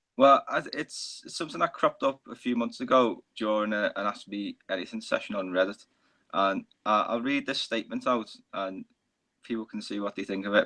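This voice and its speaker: A man with a strong Liverpool accent speaks at a moderate pace, recorded dry and close with no echo. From northern England, Liverpool. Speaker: fantasy author. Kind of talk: casual chat.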